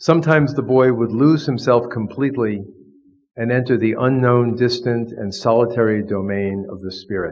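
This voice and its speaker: Recorded with audible room echo, a man with an American accent speaks with ordinary pitch variation. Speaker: professor of divinity, Jesuit priest. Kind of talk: lecture.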